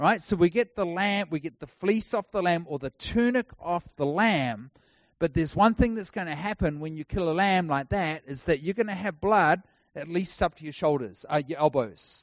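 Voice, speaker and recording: Lively intonation and a moderate pace mark this voice with a New Zealand accent. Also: man, high pitch for a man. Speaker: traveling preacher. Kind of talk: sermon.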